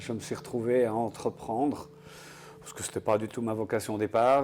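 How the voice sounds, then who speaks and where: Moderate pace, music in the background. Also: man. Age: 60s. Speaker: entrepreneur, game inventor. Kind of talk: interview.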